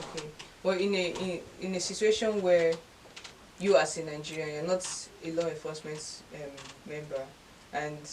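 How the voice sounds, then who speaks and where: A woman speaks at a moderate pace and a fairly low pitch, with fairly even intonation and long, frequent pauses. Her loudness swings widely over noticeable background noise. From Nigeria. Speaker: talk show host. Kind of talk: interview question. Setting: studio. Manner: occasionally stuttering.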